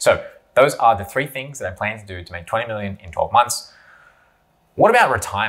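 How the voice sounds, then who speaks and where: A man speaks at a moderate pace with ordinary pitch variation, big swings in loudness, and long, frequent pauses. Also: quiet background. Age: 30s. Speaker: YouTuber and online business entrepreneur; business vlogger. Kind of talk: monologue to camera. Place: home room.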